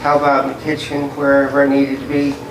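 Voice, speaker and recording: Background noise is noticeable, and room echo can be heard. Over it, a man talks with a fairly high pitch. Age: 60s. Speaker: club member, kitchen aide. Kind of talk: casual chat.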